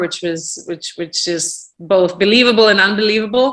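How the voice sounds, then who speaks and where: A woman talks with a Russian accent in a bright, sharp tone. The background is quiet. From Russia, Moscow suburb. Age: 40s. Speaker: real estate business owner. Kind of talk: podcast interview. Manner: halting, many fillers.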